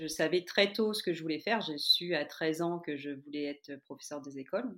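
A woman with a very deep, low pitch speaks at a fairly quick pace with ordinary pitch variation. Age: 40s. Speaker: primary school teacher turned yoga teacher. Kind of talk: interview.

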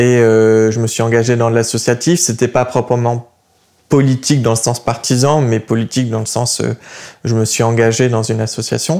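Dark and mellow in tone, a man's medium-pitched voice moves at a moderate pace. His intonation stays fairly even. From southern France, Montpellier. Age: 20s. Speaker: young political activist. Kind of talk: interview. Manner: halting.

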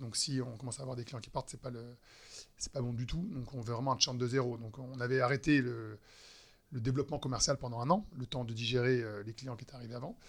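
A man talks at a very fast pace in a somewhat breathy, medium-pitched voice with fairly even intonation. His loudness swings widely, on a very clean recording with a silent background. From western France, Nantes. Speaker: wealth management entrepreneur. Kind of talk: interview conversation. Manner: hesitant, many fillers.

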